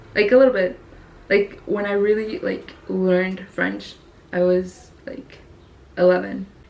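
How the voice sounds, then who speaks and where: Against noticeable background noise, a woman talks at a fairly slow pace with long, frequent pauses. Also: medium pitch for a woman, ordinary pitch variation. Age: 20s. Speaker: YouTuber. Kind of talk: casual vlog monologue. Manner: casual, many fillers ('like').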